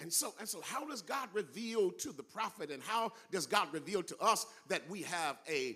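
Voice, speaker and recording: Speaking with an American accent, a man projects a raised voice with a bright, sharp tone. His pace is moderate and his intonation lively. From California. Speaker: guest preacher. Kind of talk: sermon. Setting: church.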